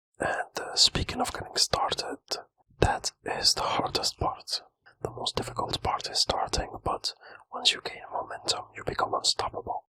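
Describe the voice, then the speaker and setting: A man whispering at a moderate pace, dry and close with no echo. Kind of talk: whispered ASMR self-help talk to camera. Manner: whispered, soft, relaxing.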